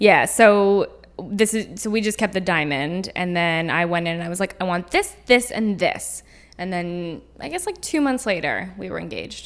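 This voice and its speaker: A normal speaking voice moves at a moderate pace with ordinary pitch variation and big swings in loudness. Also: woman, medium pitch for a woman. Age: 20s. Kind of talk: casual chat.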